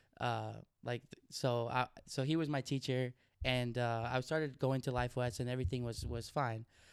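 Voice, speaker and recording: In an American accent, a man with a normal speaking voice talks at a moderate pace and medium pitch, keeping his intonation fairly even. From Oregon, US. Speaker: investing educator and entrepreneur. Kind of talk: interview conversation.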